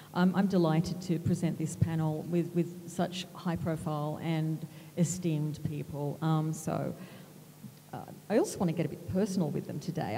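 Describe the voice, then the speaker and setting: With an Australian accent, a woman speaks at a very deep, low pitch. Her delivery is a flat monotone at a moderate pace. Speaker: magazine editor, moderator. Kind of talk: panel moderation.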